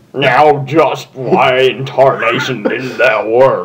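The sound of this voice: At a very slow pace, a man puts on a character voice at medium pitch.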